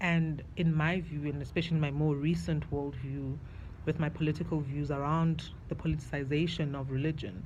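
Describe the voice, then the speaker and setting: Delivered at a moderate pace with fairly even intonation, the voice has vocal fry and audible room echo. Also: woman. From South Africa. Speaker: video diarist. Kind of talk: personal video diary monologue. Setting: outdoors on a balcony. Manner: casual, reflective.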